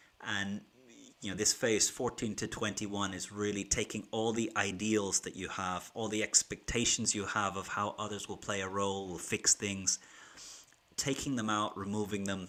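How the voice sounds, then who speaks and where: Bright and sharp in tone, a man's voice stays monotone with flat intonation. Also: fairly low pitch for a man, moderate pace. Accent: Irish. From Ireland. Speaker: keynote speaker and business school teacher. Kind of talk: livestream talk to viewers. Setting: YouTube livestream from home.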